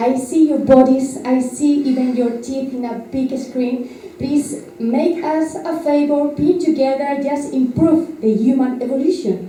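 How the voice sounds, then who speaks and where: Amid audible room echo and noticeable background noise, a woman with a high pitch speaks at a fairly slow pace with fairly even intonation and hardly any pauses. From Spain. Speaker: journalist. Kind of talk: press conference question. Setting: press conference with audience. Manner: halting.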